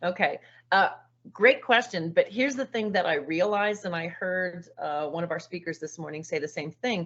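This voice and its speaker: With an American accent, a woman speaks at a moderate pace and fairly low pitch in an ordinary speaking voice with ordinary pitch variation. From California. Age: 60s. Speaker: teacher. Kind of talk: online presentation.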